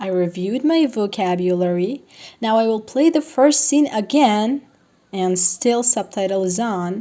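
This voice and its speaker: Lively in intonation, a woman with a Persian accent and a fairly high pitch speaks at a fairly slow pace. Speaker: language learning vlogger. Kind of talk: tutorial.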